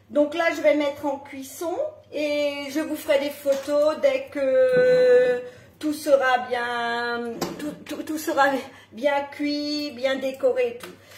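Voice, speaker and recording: A woman's high, monotone, flat voice at a very slow pace, with big swings in loudness, audible room echo and noticeable background noise. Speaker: home cooking presenter. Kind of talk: live cooking tutorial. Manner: casual, with fillers.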